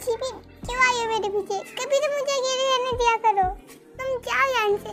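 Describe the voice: Putting on a character voice at an extremely high pitch, a woman keeps fairly even intonation over clear music in the background. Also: moderate pace.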